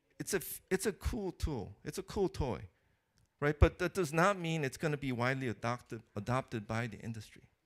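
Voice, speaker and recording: On a very clean recording with a silent background and a dry, close sound with no echo, a man with a non-native accent talks at a fairly quick pace in a fairly high pitch with very wide pitch swings. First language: not English. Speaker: keynote speaker, computer architecture researcher. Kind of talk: conference keynote talk. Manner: hesitant, many fillers and restarts.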